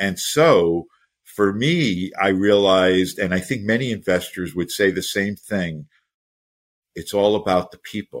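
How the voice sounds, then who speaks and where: With a normal speaking voice, a man talks at a fairly slow pace in a fairly low pitch, showing ordinary pitch variation and big swings in loudness. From United States. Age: 60s. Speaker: startup investor and mentor. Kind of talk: interview.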